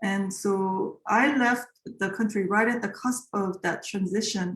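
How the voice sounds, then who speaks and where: Somewhat breathy speech with a Korean accent comes at a fairly slow pace, with very even loudness and fairly even intonation. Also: woman, medium pitch for a woman. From South Korea. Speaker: composer. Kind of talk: interview. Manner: halting.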